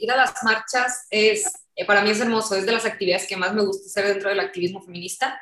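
A woman talks very fast at a fairly high pitch. Her intonation is fairly even. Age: 30s. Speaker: activist and political scientist. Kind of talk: interview.

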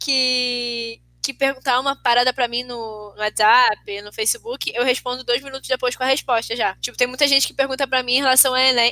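Her pitch high and her intonation flat and monotone, a woman talks with hardly any pauses in a dry, close sound with no echo. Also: fairly quick pace. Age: 20s. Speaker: podcast co-host. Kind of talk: casual chat.

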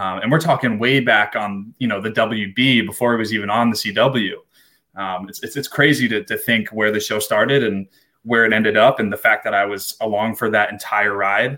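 At a fairly quick pace, a man with a fairly low pitch talks in a plain, everyday voice with fairly even intonation. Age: 20s. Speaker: podcast co-host. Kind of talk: casual chat.

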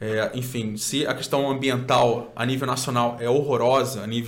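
Over noticeable background noise and audible room echo, a man speaks fairly slowly in a monotone, flat way. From Cabo Frio, Rio de Janeiro state, Brazil. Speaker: documentary maker and political aide, environmental activist. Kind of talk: casual interview.

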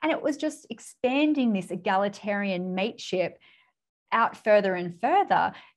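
A woman speaks with an Australian accent at a medium pitch and a moderate pace. Her intonation is lively. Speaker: business mentor and author. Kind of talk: interview.

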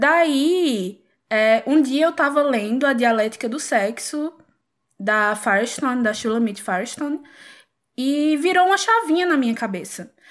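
On a very clean recording with a silent background, a woman with a high pitch talks at a fairly slow pace with lively intonation. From Pernambuco, Brazil. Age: 20s. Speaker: clinical psychologist. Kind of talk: casual chat.

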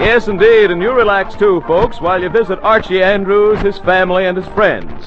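With music in the background, a man talks at a moderate pace with hardly any pauses. His pitch is high and his intonation fairly even. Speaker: radio announcer. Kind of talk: 1940s radio announcer, promotional.

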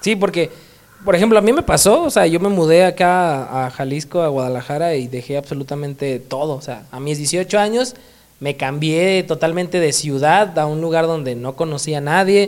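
An unremarkable speaking voice from a man, fairly high in pitch, with ordinary pitch variation and a moderate pace. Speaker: podcast host. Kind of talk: casual interview.

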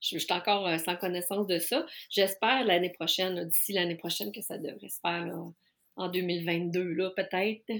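At a moderate pace, a woman talks with ordinary pitch variation and big swings in loudness, recorded very cleanly against a silent background. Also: fairly low pitch for a woman. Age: 50s. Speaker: life coach specializing in neurodiversity. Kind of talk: casual interview.

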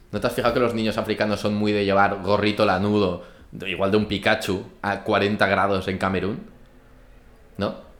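This man speaks at a moderate pace in a fairly low pitch with monotone, flat intonation. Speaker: podcast co-host. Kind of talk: casual chat over wine tasting. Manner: loud.

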